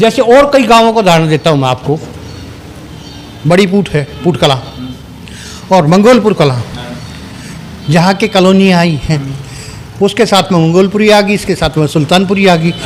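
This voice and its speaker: A high-pitched man talks with lively intonation and long, frequent pauses against noticeable background noise. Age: 60s. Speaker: village elder, local resident. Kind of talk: interview.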